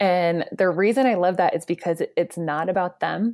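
A woman with a plain, everyday voice and fairly low pitch speaks with ordinary pitch variation on a very clean recording with a silent background. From Georgia, US South. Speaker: marketing agency founder and CEO. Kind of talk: interview.

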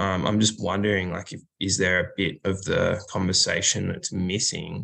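Bright, sharp tone at a moderate pace, with fairly even intonation. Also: man. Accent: Australian. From rural Australia. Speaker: musician, bass player and singer. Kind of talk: casual interview.

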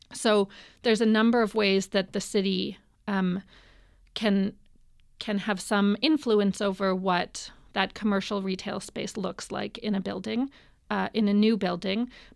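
Woman with a western Canadian accent, medium pitch and fairly even intonation, fairly slow pace with long, frequent pauses, on a very clean recording with a silent background. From Vancouver, Canada. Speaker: city council candidate and minister. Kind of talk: interview.

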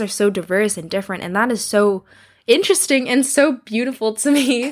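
In a very clean recording with a silent background, a woman with a Canadian accent speaks at a moderate pace in a fairly high voice with lively intonation. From Canada. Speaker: podcast host. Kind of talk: solo podcast monologue. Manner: casual, frequent laughter and fillers.

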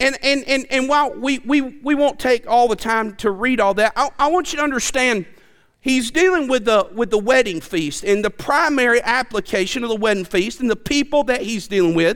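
A man's extremely high voice in a Southern US accent, lively in intonation, at a moderate pace. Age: 40s. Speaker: preacher. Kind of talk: sermon. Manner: animated, repetitive stammering.

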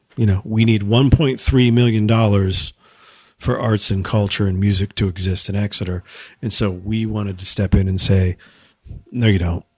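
A somewhat breathy man's voice, fairly low in pitch, with fairly even intonation at a moderate pace in a very clean recording with a silent background. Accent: American. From New Hampshire, US. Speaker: arts nonprofit director and music producer. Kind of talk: casual chat. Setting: in person, his studio space.

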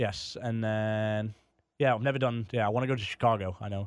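In a very clean recording with a silent background, a man talks fairly quickly at a medium pitch with monotone, flat intonation. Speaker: comedian guest. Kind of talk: casual conversation. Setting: studio.

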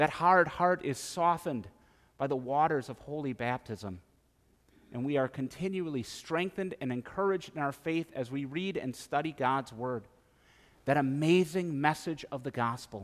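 On a very clean recording with a silent background, a man with an Upper Midwest accent speaks at a moderate pace in a fairly high pitch with ordinary pitch variation. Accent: Upper Midwest American. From central Wisconsin. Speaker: pastor. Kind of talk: sermon.

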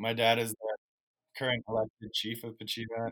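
A man speaks with a Canadian accent at a moderate pace. The sound is dry and close with no echo, a very clean recording with a silent background. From British Columbia, Canada. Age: 20s. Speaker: student teacher and fisheries worker. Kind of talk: casual interview.

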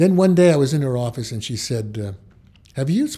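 With an American accent, a man speaks in a medium-pitched, somewhat breathy voice of dark, mellow tone and ordinary pitch variation. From New York City (the Bronx). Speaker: retired photojournalist and TV writer. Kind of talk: interview.

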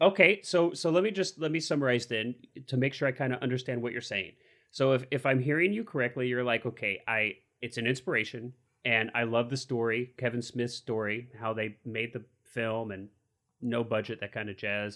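At a fairly quick pace, a man with an unremarkable speaking voice talks at a medium pitch with ordinary pitch variation, on a very clean recording with a silent background. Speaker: film podcast co-host. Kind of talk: casual chat.

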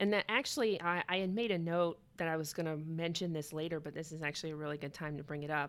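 Very fast speech from a woman, fairly low-pitched, its pitch variation ordinary. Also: hardly any pauses. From Atlanta. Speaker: podcast host, preservationist. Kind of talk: scripted outro; casual interview.

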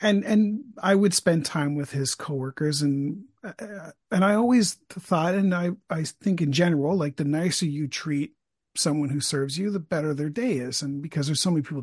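In a dry, close sound with no echo and a quiet background, a man with an unremarkable speaking voice, fairly high in pitch, talks at a moderate pace with ordinary pitch variation. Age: 50s. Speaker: podcaster interviewing the host. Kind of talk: casual interview chat.

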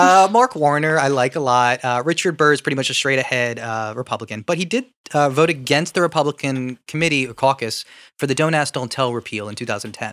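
A man with a Philadelphia accent, fairly high in pitch with ordinary variation, at a fairly quick pace, in a dry, close sound with no echo on a very clean recording with a silent background. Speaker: podcast co-host. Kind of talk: casual political banter.

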